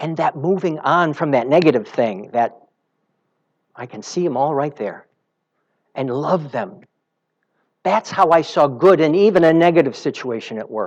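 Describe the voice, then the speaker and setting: With an American accent and a normal speaking voice, a man talks at a moderate pace with a fairly high pitch and lively intonation against a quiet background. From US Midwest (Illinois). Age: 60s. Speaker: spiritual practitioner. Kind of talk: sermon.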